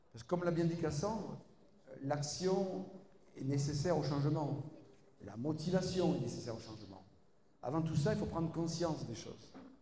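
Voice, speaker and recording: Pausing long and often, a man with a fairly high pitch speaks at a moderate pace with lively intonation and big swings in loudness, in a room with audible echo. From southern France, Marseille. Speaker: doctor and university lecturer. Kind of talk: conference talk.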